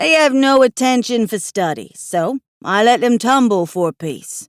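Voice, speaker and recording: On a very clean recording with a silent background, a woman puts on a character voice with a fairly high pitch at a moderate pace. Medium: read story. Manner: formal, old-fashioned.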